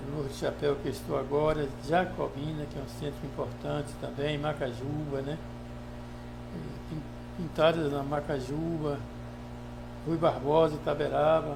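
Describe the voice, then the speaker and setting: A man's speech full of long, frequent pauses, with noticeable background noise and audible room echo. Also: moderate pace. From Bahia, Brazil (Baixa Grande). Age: 70s. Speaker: surgeon and local politician. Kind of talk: podcast interview.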